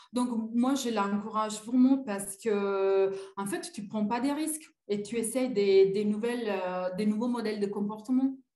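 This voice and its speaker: Audible room echo surrounds a woman speaking in a fairly high voice with ordinary pitch variation. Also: fairly slow pace. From Italy. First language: Italian (speaking French). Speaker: coaching client. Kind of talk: testimony. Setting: live video call. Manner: hesitant, many fillers.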